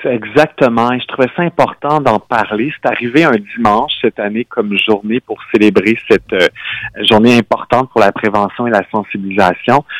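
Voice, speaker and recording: In a normal speaking voice, a man of medium pitch talks at a moderate pace with ordinary pitch variation and hardly any pauses, the sound dry and close with no echo. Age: 30s. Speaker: nonprofit director. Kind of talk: radio interview.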